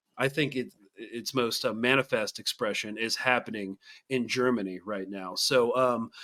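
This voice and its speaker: Over a very clean recording with a silent background, a man with an American accent speaks at a moderate pace in a bright, sharp tone, with medium pitch and fairly even intonation. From Texas. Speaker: podcast host. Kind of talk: podcast interview. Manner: halting, many stutters.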